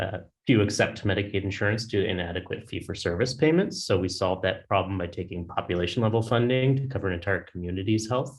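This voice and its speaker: Delivered at a very fast pace, the somewhat breathy voice shows ordinary pitch variation. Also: man. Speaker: startup founder pitching. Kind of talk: business pitch.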